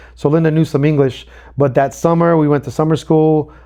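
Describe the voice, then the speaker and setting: A fairly high-pitched man with a Spanish accent, dark and mellow in tone, at a fairly quick pace over a quiet background. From El Salvador. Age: 40s. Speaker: podcast co-host. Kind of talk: casual chat.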